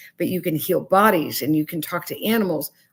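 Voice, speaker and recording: Her intonation lively, a woman talks at a moderate pace with a medium pitch. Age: 60s. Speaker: spiritual counselor and psychic medium. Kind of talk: interview testimony. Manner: animated.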